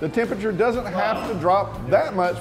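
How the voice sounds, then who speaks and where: Clear music sits in the background as the speaker talks at a moderate pace. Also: man. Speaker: local events show host. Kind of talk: presenter segment. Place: bar. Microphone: lapel.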